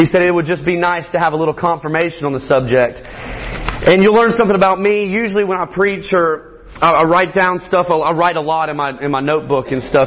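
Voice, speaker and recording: Against noticeable background noise, a man with a Southern US accent speaks in a high voice at a fairly quick pace. He barely pauses and uses ordinary pitch variation. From Morgan County, Georgia. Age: 20s. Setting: church.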